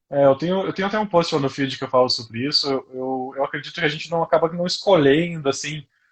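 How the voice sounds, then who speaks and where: A man speaks at a very fast pace with hardly any pauses, his pitch fairly high and its variation ordinary. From Brazil, interior of Paraná. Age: 20s. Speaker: neurologist. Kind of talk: interview about health. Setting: live stream. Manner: fast when excited.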